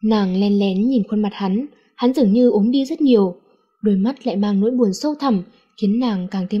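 Someone is reading aloud in a natural voice. The pitch varies in an ordinary way over a quiet background.

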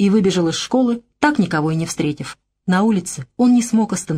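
A quiet background sits behind this plain reading aloud.

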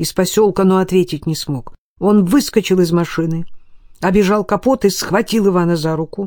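The reading voice here is unforced.

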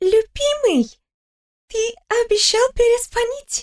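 A female-sounding voice performs a put-on character voice. Its pitch is extremely high. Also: fairly slow pace.

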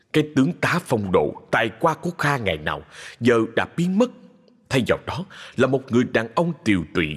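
Lively intonation carried by a natural reading voice

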